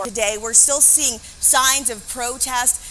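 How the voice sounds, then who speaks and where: Music plays behind a woman with an American accent and a high pitch. Her intonation is monotone and flat. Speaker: TV news reporter and anchor. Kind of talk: TV news field reporting, live stand-up.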